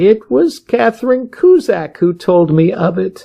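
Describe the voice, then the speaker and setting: Someone uses a put-on character voice at middle pitch and a fairly slow pace. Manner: frightened, nervous.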